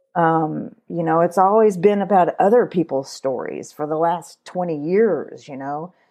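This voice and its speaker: In a Kentucky accent, the speaker moves at a fairly slow pace with hardly any pauses and ordinary pitch variation. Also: woman, fairly low pitch for a woman. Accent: Kentucky Southern American. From Kentucky, US. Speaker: podcaster and educational television producer. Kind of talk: casual interview.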